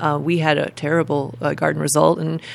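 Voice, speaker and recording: A woman speaks at a very fast pace in a very deep, low voice with vocal fry. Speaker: podcast co-host. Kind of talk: casual interview.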